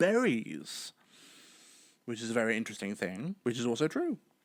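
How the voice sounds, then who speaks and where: A man with a British accent on a very clean recording with a silent background. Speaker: podcaster. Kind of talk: casual solo podcast monologue. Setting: home recording while live streaming. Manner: well-spoken, articulate.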